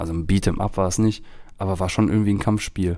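Very deep and low in pitch, a man speaks at a moderate pace in a monotone, flat intonation with a dark, mellow tone, on a very clean recording with a silent background. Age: 30s. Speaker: podcast host. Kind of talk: casual chat.

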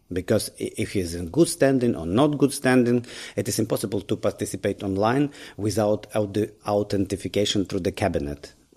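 With a Ukrainian accent, a man speaks at a moderate pace in a dark, mellow tone, his fairly low pitch carrying lively intonation. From Ukraine. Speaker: lawyer, bar association leader. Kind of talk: interview.

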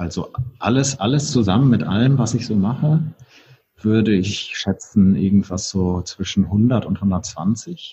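A man with a normal speaking voice talks at a fairly slow pace, his intonation lively. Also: fairly low pitch for a man. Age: 40s. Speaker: hotelier and entrepreneur. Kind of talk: interview conversation. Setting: in a brewery.

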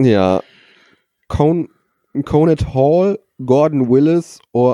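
A man at a very slow pace, dark and mellow in tone, with a dry, close sound and no echo. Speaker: podcast co-host, quizmaster. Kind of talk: casual chat, quiz. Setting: recording from a bedroom.

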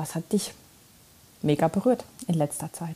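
Her tone dark and mellow, a woman speaks at a moderate pace with a fairly low, somewhat breathy voice and ordinary pitch variation. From East Germany. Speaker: listener sending voice message. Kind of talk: recorded voice message.

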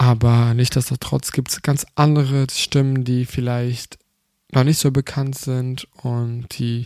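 This man speaks with a non-native accent in a dark, mellow tone. His intonation is monotone and flat, and the sound is dry and close with no echo. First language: not German (speaking German). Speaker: podcast host. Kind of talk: casual monologue. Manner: halting.

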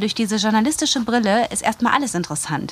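This woman's voice sits at a fairly high pitch and shows ordinary pitch variation. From Germany, Wuppertal (North Rhine-Westphalia). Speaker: journalist and podcaster. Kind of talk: interview, casual chat.

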